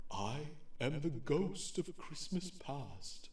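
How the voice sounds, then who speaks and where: A soft-spoken, put-on character voice moves at a very slow pace with an audible echo. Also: man, fairly high pitch for a man. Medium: audio drama. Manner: calm, solemn.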